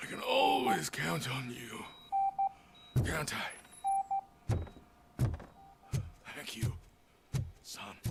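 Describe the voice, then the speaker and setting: A man speaks in a raspy, put-on character voice. He goes very slowly, with long, frequent pauses and big swings in loudness. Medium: video game.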